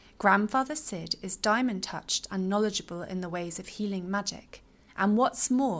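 An ordinary speaking voice, a woman at medium pitch and moderate pace with ordinary pitch variation, on a very clean recording with a silent background. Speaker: fantasy audiobook narrator.

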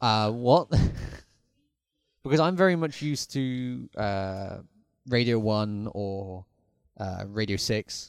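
Speaking at a very slow pace with long, frequent pauses, a man uses lively intonation. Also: fairly low pitch for a man. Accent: British. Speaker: podcast host. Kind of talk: casual chat.

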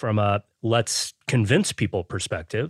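A normal speaking voice at a fairly slow pace, dry and close with no echo, in a very clean recording with a silent background. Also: man. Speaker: critic and podcast co-host. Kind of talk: casual chat.

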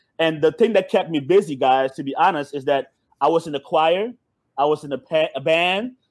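Fairly high in pitch, a man talks with an American accent and ordinary pitch variation. He has a plain, everyday voice. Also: fairly quick pace. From Suriname, raised in the US from childhood. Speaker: entrepreneur. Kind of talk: casual chat. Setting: video call.

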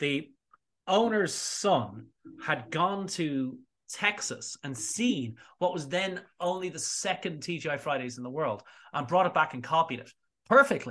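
With an Irish accent, a man speaks at a fairly slow pace in a fairly high pitch, his tone bright and sharp, his intonation lively, and his loudness swinging widely against a quiet background. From Ireland, small seaside town north of Dublin. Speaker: spirits educator and distiller. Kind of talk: casual interview chat. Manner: animated.

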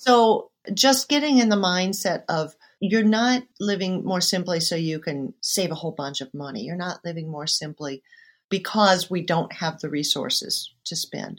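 In a very clean recording with a silent background, a woman speaks at a medium pitch and a moderate pace with lively intonation. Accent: Midwestern American. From western Iowa, small town. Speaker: urban farmer and teacher. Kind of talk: interview conversation.

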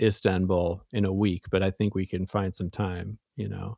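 Spoken with an American accent at a fairly slow pace, the sound is dry and close with no echo. The recording is very clean, with a silent background. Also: man. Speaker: magazine editor and writer. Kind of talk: interview conversation. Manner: slow, deliberate.

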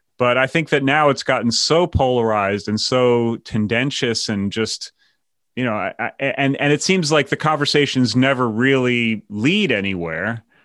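Speaking with a plain, everyday voice and an American accent, a man keeps to a moderate pace and medium pitch with ordinary pitch variation against a quiet background. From New York. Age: 50s. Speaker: podcast host. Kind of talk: casual chat.

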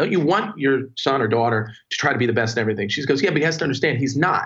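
A man with a New Jersey accent at a very fast pace. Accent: New Jersey American. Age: 40s. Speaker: entrepreneur. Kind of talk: casual interview conversation.

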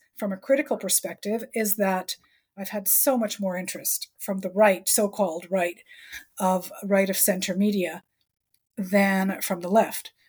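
On a very clean recording with a silent background, a woman talks at a moderate pace in a somewhat breathy voice. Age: 60s. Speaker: author. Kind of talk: interview conversation.

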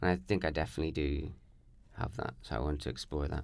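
A man's very deep, low voice with vocal fry, ordinary pitch variation and a very fast pace. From Northern Ireland, near the border. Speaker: poet and performance artist. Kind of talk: casual interview chat.

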